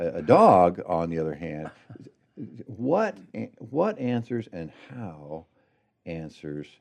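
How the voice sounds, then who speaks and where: With a West Coast accent, a man speaks very slowly at a very deep, low pitch, using lively intonation, big swings in loudness, and long, frequent pauses. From Oregon, US. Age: 60s. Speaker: pastor. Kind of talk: interview.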